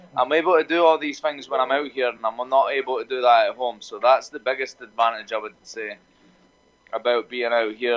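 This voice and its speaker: A man speaks with a Scottish accent at a moderate pace. His pitch sits in the medium range. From Scotland. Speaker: MMA fighter. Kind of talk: interview answer.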